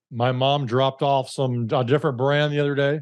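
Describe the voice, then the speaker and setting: This is a man speaking. He has an Alabama accent. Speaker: podcast host. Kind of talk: interview. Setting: call.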